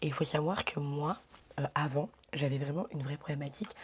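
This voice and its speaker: Somewhat breathy, a woman with a very deep, low voice talks at a moderate pace. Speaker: lifestyle vlogger. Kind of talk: casual vlog talk. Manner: hesitant with many fillers; whispering.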